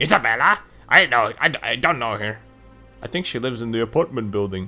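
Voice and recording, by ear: Putting on a nasal character voice at medium pitch, a man talks fairly quickly with faint music behind him.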